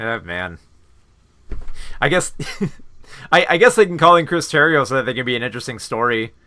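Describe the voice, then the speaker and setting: A man with very wide pitch swings and long, frequent pauses. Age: 30s. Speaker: film reviewer. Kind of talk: casual live review with chat. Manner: hesitant, many fillers.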